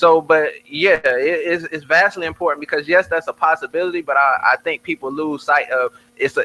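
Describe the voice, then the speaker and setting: The sound is dry and close with no echo. A man talks at a fairly quick pace in a high pitch with a bright, sharp tone. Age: 20s. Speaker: rapper. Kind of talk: casual chat. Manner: animated.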